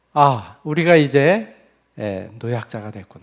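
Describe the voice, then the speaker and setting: A man talks with very wide swings in pitch. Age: 60s. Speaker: missionary. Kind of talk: mission report sermon in church. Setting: church evening service.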